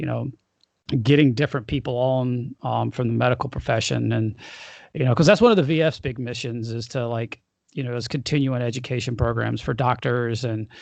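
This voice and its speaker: In an unremarkable speaking voice, a man talks at a fairly quick pace with medium pitch and fairly even intonation against a quiet background. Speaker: podcast host and vasculitis patient. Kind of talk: casual interview talk about medical experiences. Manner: conversational, rambling, informal.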